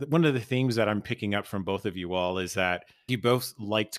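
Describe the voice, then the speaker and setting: An unremarkable speaking voice from a man, fairly low in pitch with ordinary pitch variation, at a moderate pace, in a dry, close sound with no echo. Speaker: podcast host. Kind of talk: casual interview, podcast intro. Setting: remote recording with guests.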